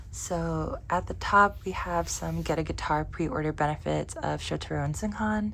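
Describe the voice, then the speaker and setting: A woman talks at a fairly slow pace, and room echo can be heard. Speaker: K-pop photocard collector vlogger. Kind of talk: casual collection showcase video. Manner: casual, chatty.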